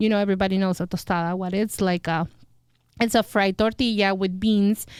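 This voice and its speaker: Speaking fairly quickly in a Spanish accent, a woman keeps a medium pitch and a monotone, flat intonation on a very clean recording with a silent background. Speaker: restaurant owner. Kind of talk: interview. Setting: studio. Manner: halting.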